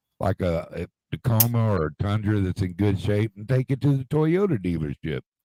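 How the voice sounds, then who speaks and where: With a dark, mellow tone and lively intonation, a man talks at a moderate pace and fairly low pitch, in a dry, close sound with no echo. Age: 60s. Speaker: retired car dealer, livestream host. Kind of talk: casual chat.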